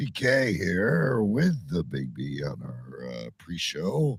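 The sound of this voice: A man puts on a raspy character voice, very deep and low in pitch, with very wide pitch swings and big swings in loudness. He speaks at a very slow pace.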